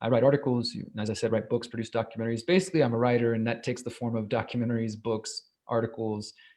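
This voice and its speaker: A man's medium-pitched voice, dark and mellow, at a very fast pace with hardly any pauses. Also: fairly even intonation. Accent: American. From Texas, Houston. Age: 30s. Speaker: investigative journalist. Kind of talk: interview. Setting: live video stream.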